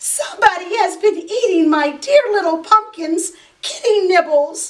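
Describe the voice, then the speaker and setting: In a put-on character voice, a woman speaks with an extremely high, squeaky pitch, lively intonation and a moderate pace. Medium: read story.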